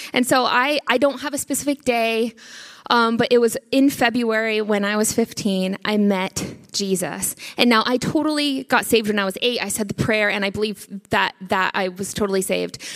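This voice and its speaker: A woman with a Northern US accent speaks in an animated tone at a moderate pace. Her pitch is fairly high, with ordinary pitch variation. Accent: American, northern US. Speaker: church member giving testimony. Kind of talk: testimony.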